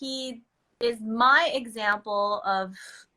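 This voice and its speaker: A woman with a Filipino accent speaks at a very slow pace in a fairly high pitch. Her pitch variation is ordinary, and the recording is very clean with a silent background. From Philippines, moved to Los Angeles at eight. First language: Filipino language. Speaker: microblading business owner. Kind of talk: casual chat. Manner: animated; halting.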